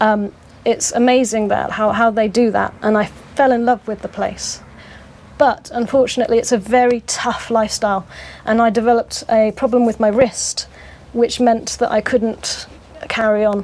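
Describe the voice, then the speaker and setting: A woman with a British accent talks at a moderate pace in a monotone, flat intonation. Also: fairly high pitch for a woman. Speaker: community resident and school worker. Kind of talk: interview. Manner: hesitant, many fillers.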